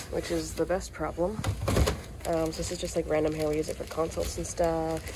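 A woman's voice over loud background noise. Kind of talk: casual vlog chat. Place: shop. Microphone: phone near.

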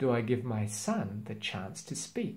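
A man's medium-pitched voice at a slow pace, with audible room echo.

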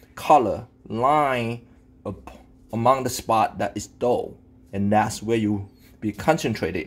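The voice belongs to a man. Its pitch moves up and down by a usual amount. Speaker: home cook demonstrating. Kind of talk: tutorial. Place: kitchen. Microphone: phone near.

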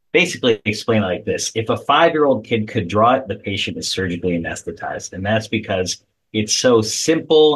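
Somewhat breathy, fairly quick speech with hardly any pauses and lively intonation. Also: man. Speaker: guest. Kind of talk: interview answer. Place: home room. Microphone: video call.

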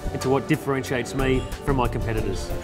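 Clear music runs underneath. Over it, a man talks. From Australia. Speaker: real estate agent and auctioneer. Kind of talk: corporate agent profile talk to camera. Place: office.

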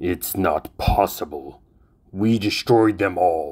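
At a very slow pace, a man uses a put-on character voice pitched fairly low. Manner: menacing, commanding.

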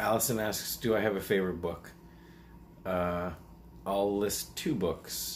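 A man speaks at a fairly slow pace with long, frequent pauses and a fairly low pitch. His pitch varies in an ordinary way, and there is light background noise. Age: 40s. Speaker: animal rescuer and YouTuber. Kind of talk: casual Q&A monologue. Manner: hesitant, many fillers. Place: home room. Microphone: webcam.

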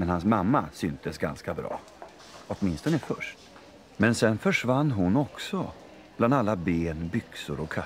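The voice is reading aloud in a natural voice, with lively intonation.

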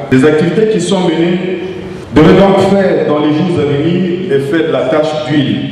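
A man with ordinary pitch variation in strong room echo. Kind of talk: formal speech. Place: hall.

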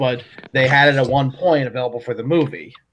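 The speaker is a man with a fairly high pitch. He talks at a very fast pace over light background noise. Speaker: Lego YouTuber; guest. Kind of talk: casual chat. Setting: online group call stream. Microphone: video call.

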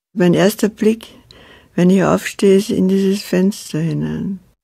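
In a very clean recording with a silent background, a woman speaks. Her medium pitch has a dark, mellow tone. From Austria. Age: 80s+. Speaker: writer and poet. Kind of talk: documentary interview talk.

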